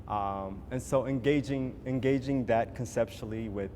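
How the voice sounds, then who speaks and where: A man speaks with an Ethiopian accent. His tone is dark and mellow, with ordinary pitch variation. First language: Amharic. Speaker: visual artist. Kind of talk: panel discussion. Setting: gallery event with audience. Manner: halting, many fillers and repetitions.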